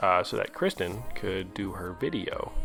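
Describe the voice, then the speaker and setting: Over music in the background, a man talks at a very slow pace. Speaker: husband of the channel owner doing a comedic voiceover. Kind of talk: casual humorous voiceover narration.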